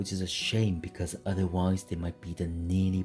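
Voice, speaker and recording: Music can be heard behind the voice. The speech unfolds at a moderate speed. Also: man. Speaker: mechanical keyboard reviewer. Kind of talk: product review narration.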